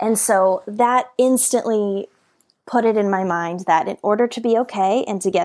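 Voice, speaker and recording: A woman with a normal speaking voice speaks at a fairly slow pace, her pitch medium and its variation ordinary. The recording is very clean, with a silent background. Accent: American. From Colorado, US. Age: 20s. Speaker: author and motivational speaker. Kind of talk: interview.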